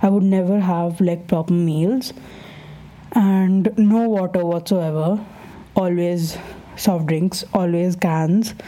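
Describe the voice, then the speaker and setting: A woman talks at a very slow pace, medium in pitch, with very even loudness and long, frequent pauses. There is noticeable background noise. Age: 20s. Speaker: podcast host. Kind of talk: casual monologue. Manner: animated.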